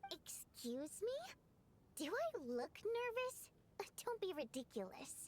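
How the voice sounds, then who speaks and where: Using a put-on character voice, a woman talks at an extremely high pitch with very wide pitch swings, a fairly slow pace and long, frequent pauses. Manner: nervous, defensive.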